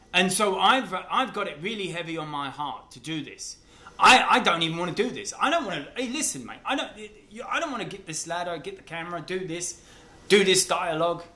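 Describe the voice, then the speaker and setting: A man's raised, projected, high-pitched voice, with lively intonation, big swings in loudness and a fairly quick pace, amid noticeable background noise and audible room echo. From England, East London. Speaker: vlogger. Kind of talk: casual monologue to camera. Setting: self-filmed video, camera on a ladder.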